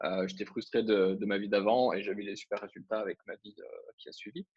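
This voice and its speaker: Against a quiet background, a man talks at a very fast pace, the sound dry and close with no echo. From France. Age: 30s. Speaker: internet entrepreneur. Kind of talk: interview.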